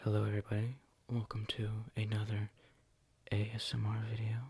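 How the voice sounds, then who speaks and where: Soft-spoken delivery comes at a moderate pace. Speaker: ASMR creator. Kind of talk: ASMR soft-spoken show and tell.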